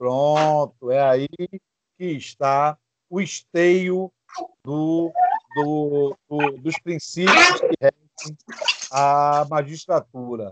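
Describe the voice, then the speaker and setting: At a very slow pace with long, frequent pauses, a man speaks at a fairly high pitch with fairly even intonation, dry and close with no echo. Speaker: law teacher. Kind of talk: lecture.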